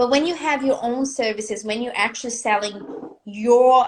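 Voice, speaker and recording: A woman with a non-native accent speaks at a moderate pace in a high pitch, with ordinary pitch variation. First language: not English. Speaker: business and confidence coach. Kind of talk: live video interview. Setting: live video stream. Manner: animated.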